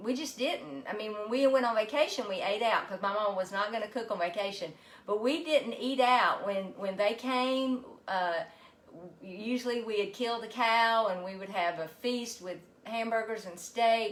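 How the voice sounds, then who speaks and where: Speaking at a moderate pace, a woman with a Southern US accent has a fairly high pitch and ordinary pitch variation. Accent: Southern US (Georgia). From US South, Georgia. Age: 60s. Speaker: health coach and physical therapist. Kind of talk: casual live cooking stream.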